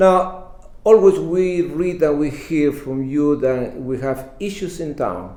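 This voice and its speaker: A man with a Spanish accent, fairly high pitch and lively intonation, in audible room echo. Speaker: bilingual community TV interviewer. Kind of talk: interview. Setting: studio.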